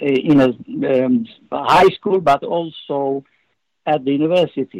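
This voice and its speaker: A man with a fairly high voice and a Romanian accent speaks with ordinary pitch variation in a dry, close recording with no echo. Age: 70s. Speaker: former spy and author. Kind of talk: interview. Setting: video call. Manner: halting.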